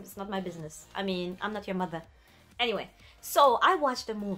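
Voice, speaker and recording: A woman speaks with a French accent. Her pace is fairly quick. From France. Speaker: YouTuber, anime and film commentator. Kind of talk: casual vlog monologue. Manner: animated.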